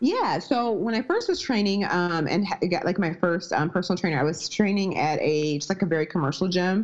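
A woman speaks with an American accent in a plain, everyday voice at a medium pitch with ordinary pitch variation. Her pace is fairly quick, with hardly any pauses and very even loudness. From US Midwest. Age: 30s. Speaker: strength and nutrition coach. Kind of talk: casual interview.

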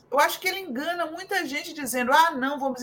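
A woman's voice over noticeable background noise. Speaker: political commentator. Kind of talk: panel discussion.

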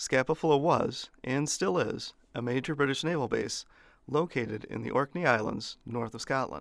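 This man speaks at a medium pitch with ordinary pitch variation and vocal fry. The recording is very clean, with a silent background. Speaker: history podcast host. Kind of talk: history documentary narration, scripted and read aloud. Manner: formal, steady, measured; even and authoritative, little emotion.

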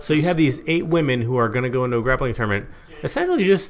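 A man talks at medium pitch with ordinary pitch variation while noticeable background noise runs underneath. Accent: American. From Eugene, Oregon, US. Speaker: former pro wrestler, announcer and beer podcast co-host. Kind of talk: casual chat, beer and MMA talk.

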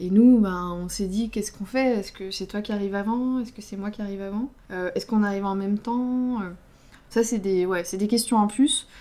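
Delivery is fairly quick. A dark, mellow tone carries fairly even intonation. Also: woman, medium pitch for a woman. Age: 30s. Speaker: podcast co-host. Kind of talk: casual chat. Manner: halting.

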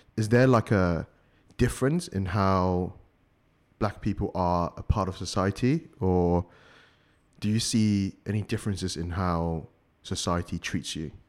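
A man speaks in a very deep, low voice at a fairly slow pace, with ordinary pitch variation and long, frequent pauses, on a very clean recording with a silent background. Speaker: podcast host. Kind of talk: casual chat.

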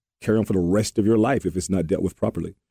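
A man speaks in an American accent at a fairly low pitch, with a dark, mellow tone and ordinary pitch variation. The sound is dry and close, with no echo. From Alabama. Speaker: co-host. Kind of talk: casual chat. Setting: studio. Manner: halting.

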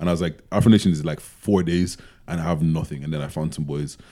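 A man talks at a very fast pace. His pitch is very deep and low, with a dark, mellow tone. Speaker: podcast co-host. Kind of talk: casual chat. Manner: animated.

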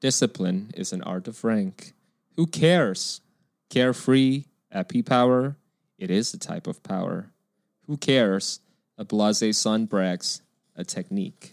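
Very wide pitch swings and long, frequent pauses mark a man's medium-pitched speech at a fairly slow pace. The recording is very clean with a silent background, and the sound is dry and close with no echo. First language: not English. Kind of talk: casual chat.

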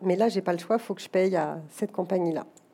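This woman's tone is dark and mellow. She talks at a fairly quick pace. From France, Paris. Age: 40s. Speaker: executive recruiter and company director. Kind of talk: interview before a live audience.

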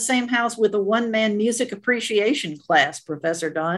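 A woman speaks with a normal speaking voice and lively intonation. The background is quiet. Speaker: radio host. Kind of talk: interview host.

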